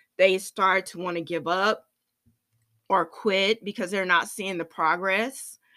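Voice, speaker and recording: In a very clean recording with a silent background, a woman with a bright, sharp tone and a medium pitch speaks at a fairly slow pace. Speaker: fitness trainer and podcast host. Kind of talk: faith-based reflective monologue. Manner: hesitant, many fillers.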